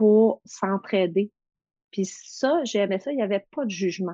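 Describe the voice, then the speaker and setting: With a dark, mellow tone, a woman speaks at medium pitch and moderate pace with ordinary pitch variation over a quiet background. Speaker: massage therapist and confidence coach. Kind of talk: casual interview.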